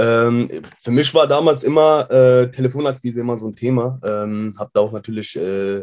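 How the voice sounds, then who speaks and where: Over a quiet background, a man talks at medium pitch and a moderate pace, with ordinary pitch variation. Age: 20s. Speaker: web design agency owner. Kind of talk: interview. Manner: hesitant, many fillers.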